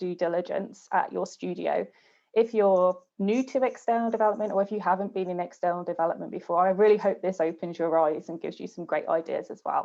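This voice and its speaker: A woman's fairly quick speech, with ordinary pitch variation, is heard over a quiet background. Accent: British. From UK. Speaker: game studio external development manager. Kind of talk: webinar presentation.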